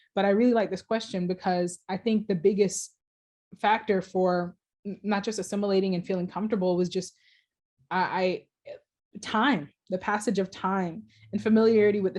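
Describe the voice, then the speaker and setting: A woman with an American accent speaks in a dark, mellow tone at a moderate pace. Her intonation is fairly even, and the background is quiet. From Jamaica. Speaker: PhD student researcher, ethnomusicology. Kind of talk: Q&A answer after academic talk.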